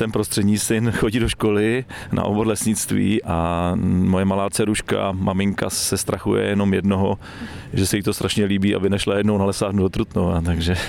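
Noticeable background noise sits behind a man with a fairly low pitch. He talks at a fairly quick pace in a monotone, flat intonation with very even loudness. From Czechia, Trutnov (Krkonoše region). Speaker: forestry school director. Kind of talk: interview on a forest walk. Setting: outdoors in a forest.

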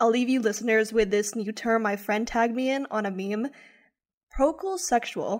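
Fairly quick and fairly high-pitched, a woman talks in an unremarkable speaking voice with ordinary pitch variation. The recording is very clean, with a silent background. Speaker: student podcast host. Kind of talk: casual chat.

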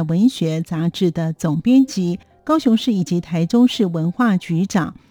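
Somewhat breathy and dark, mellow in tone, a woman speaks at medium pitch and a fairly slow pace with lively intonation, in a dry, close sound with no echo. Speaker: radio host. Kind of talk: radio show hosting.

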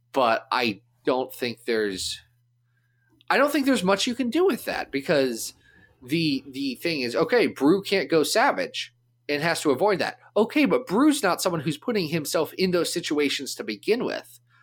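A man speaks in a high pitch with very wide pitch swings. The recording is very clean, with a silent background. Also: moderate pace. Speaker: podcast host. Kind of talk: casual chat; scripted show intro/outro.

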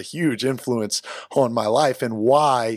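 A man talks in a normal speaking voice. His pitch is medium, with ordinary variation. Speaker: podcast host, former soccer player. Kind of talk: casual interview.

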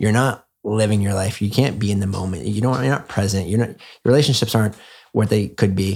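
A man with a Canadian accent and an unremarkable speaking voice talks at a fairly low pitch and fairly quick pace with ordinary pitch variation, in a very clean recording with a silent background. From Canada, small town. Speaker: former finance worker turned wellness enthusiast. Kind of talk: casual chat. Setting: in-person at host's home.

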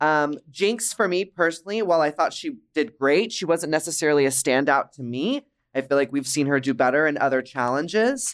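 With an ordinary speaking voice, a man talks at a fairly quick pace with hardly any pauses, fairly high pitch and lively intonation, in a very clean recording with a silent background. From Dallas, Texas. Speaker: drag performer and podcast host. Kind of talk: casual chat. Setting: studio, in person.

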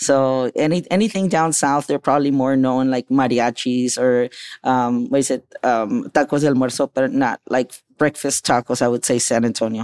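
Recorded very cleanly against a silent background, dry and close with no echo, an ordinary speaking voice moves at a moderate pace with very even loudness and fairly even intonation. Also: man, medium pitch for a man. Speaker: chef and restaurant owner. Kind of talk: casual chat.

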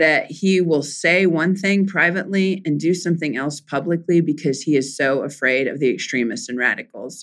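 On a very clean recording with a silent background, a woman with an American accent talks at a moderate pace in a fairly low pitch with lively intonation. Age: 40s. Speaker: politician. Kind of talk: interview.

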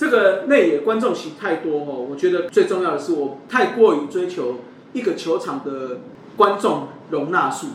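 Noticeable background noise and audible room echo surround a man with a high pitch. He speaks at a moderate pace with lively intonation. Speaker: baseball podcast host. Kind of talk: casual chat.

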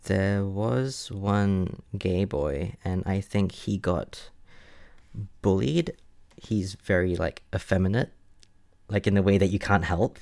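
A man talks at a very slow pace with fairly low pitch and ordinary pitch variation, leaving long, frequent pauses. The recording is very clean, with a silent background. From Singapore. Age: 20s. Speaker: guest telling personal story. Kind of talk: personal storytelling interview.

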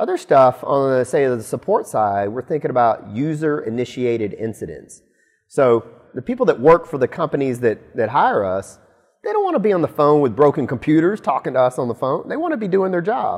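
A man with an American accent speaks at a fairly quick pace. His fairly high pitch swings very widely. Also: quiet background. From Alabama, US South. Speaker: company executive. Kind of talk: interview.

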